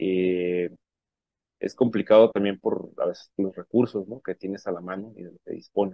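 A man with an unremarkable speaking voice, fairly low pitch and fairly even intonation, at a moderate pace with big swings in loudness. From Mexico, Sonora (Puerto Peñasco). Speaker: independent musician. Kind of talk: interview.

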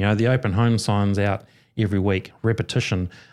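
A man with a New Zealand accent talks at a moderate pace and a fairly low pitch. His intonation stays fairly even, and the recording is very clean with a silent background. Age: 50s. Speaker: mortgage adviser. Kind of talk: casual chat.

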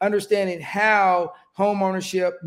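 Here a man talks in a high pitch. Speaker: podcast host. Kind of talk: casual interview. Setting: studio. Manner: animated.

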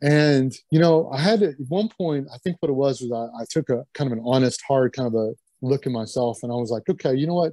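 With a Kentucky accent and a dark, mellow tone, a man talks at a fairly quick pace and ordinary pitch variation. The sound is dry and close, with no echo. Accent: US Southern (Kentucky). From Kentucky (Lexington). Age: 50s. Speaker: strength athlete. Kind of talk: casual interview chat.

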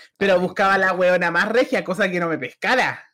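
A man with a Chilean accent and a bright, sharp tone, in a very clean recording with a silent background. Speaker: podcast co-host. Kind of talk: casual chat.

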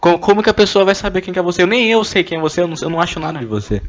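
A man speaks with a fairly high pitch. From Brazil, Goiânia. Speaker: podcaster. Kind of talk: casual solo monologue. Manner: animated.

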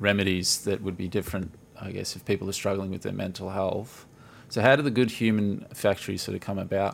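Fairly quick delivery in an Australian accent, with fairly even intonation. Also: man. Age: 30s. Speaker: podcast host. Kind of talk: casual chat.

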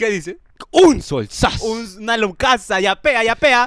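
A man speaks in an extremely high, bright and sharp voice, raised and projected. His delivery is fairly slow and animated, with lively intonation. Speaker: podcast host. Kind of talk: casual chat. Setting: studio.

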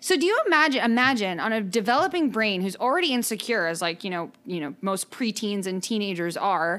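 Loud and fairly high in pitch, a woman speaks at a moderate pace with very wide pitch swings. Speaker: podcast co-host. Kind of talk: casual chat.

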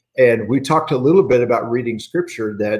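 A man talks in a plain, everyday voice. His pitch stays medium and varies in an ordinary way. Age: 50s. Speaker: church minister leading Bible study. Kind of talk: livestreamed Bible class devotional.

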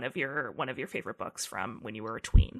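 A woman's voice comes across bright and sharp in tone, with vocal fry. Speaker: podcast host. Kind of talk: casual chat. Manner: fast talker.

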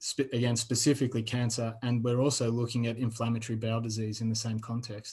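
A man with an Australian accent speaks at a very fast pace with hardly any pauses, in a monotone, flat delivery at medium pitch, sounding somewhat breathy over a quiet background. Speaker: postdoctoral researcher. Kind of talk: interview.

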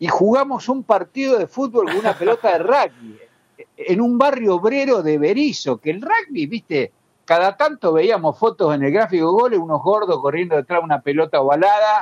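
A man speaks at a moderate pace in a high voice for a man. His pitch swings very widely, and the sound is dry and close with no echo. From Argentina, La Plata area (Berisso). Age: 60s. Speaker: journalist and writer. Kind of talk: interview.

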